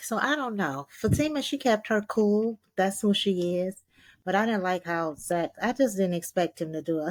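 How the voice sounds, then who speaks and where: In a very clean recording with a silent background, a woman speaks with an animated tone and lively intonation at a medium pitch and moderate pace. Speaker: TV recap podcast host. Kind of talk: casual chat.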